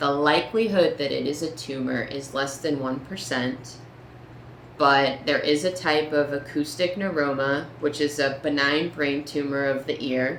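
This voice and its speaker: Fairly even intonation and a fairly slow pace come through noticeable background noise. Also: woman, very deep, low pitch for a woman. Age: 30s. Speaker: patient sharing diagnosis story. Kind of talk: personal story talk to camera.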